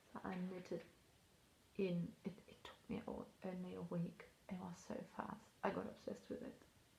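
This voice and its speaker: There is vocal fry in this woman's voice. She keeps a moderate pace. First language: not English. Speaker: knitting vlogger. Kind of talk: casual chat. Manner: casual, hesitant with fillers.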